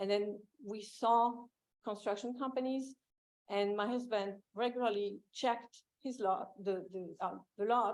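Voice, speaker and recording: With a French accent, a woman speaks in a fairly high voice with fairly even intonation at a fairly slow pace, leaving long, frequent pauses. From France. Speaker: property owner testifying. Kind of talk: public hearing testimony. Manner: halting.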